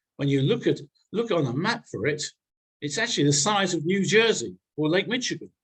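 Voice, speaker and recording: A man with a British accent and a high-pitched voice. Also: lively intonation, fairly quick pace. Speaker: newsletter editor, speaker. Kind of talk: presentation to a congregation. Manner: fast.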